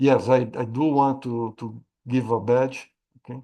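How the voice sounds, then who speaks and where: A man with a Portuguese accent speaks at a medium pitch in a dark, mellow tone, his intonation fairly even against a quiet background. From Brazil. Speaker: AI risk management expert and trainer. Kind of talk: webinar Q&A. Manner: halting, many repetitions.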